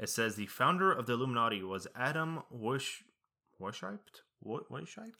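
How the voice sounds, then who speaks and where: A man talks at a moderate pace, his intonation lively. He has an ordinary speaking voice, pitched at a medium level. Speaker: podcast co-host. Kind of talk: casual chat.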